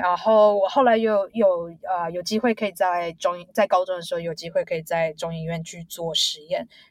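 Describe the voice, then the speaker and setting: A woman's unremarkable speaking voice, medium in pitch, at a moderate pace with fairly even intonation and hardly any pauses. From Taiwan, Taipei. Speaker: biotech executive. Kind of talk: interview.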